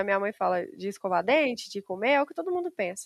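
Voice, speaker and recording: A woman speaks at a very fast pace. The sound is dry and close with no echo, over a quiet background. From Brazil, Minas Gerais countryside. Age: 20s. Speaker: civil engineer. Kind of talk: interview.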